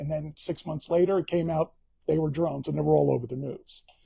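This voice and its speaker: A man's dark, mellow tone at fairly high pitch, moving at a fairly quick pace. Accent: Bronx. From New York, the Bronx. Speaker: author. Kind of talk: book talk via live stream. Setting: live stream. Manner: casual, conversational.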